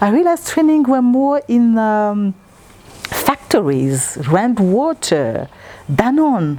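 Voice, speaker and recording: A woman in a French accent, speaking at a very slow pace with very wide pitch swings, amid noticeable background noise. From Congo. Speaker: interviewee. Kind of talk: interview.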